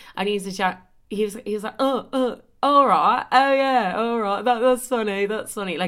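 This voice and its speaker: A bright, sharp tone with an Irish accent at a moderate pace, on a very clean recording with a silent background. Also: woman. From Ireland. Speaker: podcaster. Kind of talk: casual chat. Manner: animated.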